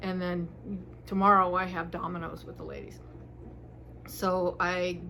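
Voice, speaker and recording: A woman talks, and audible room echo trails her words. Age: 60s. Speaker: retired hospital worker and harpist vlogger. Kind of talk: casual chat. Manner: rambling, halting with fillers.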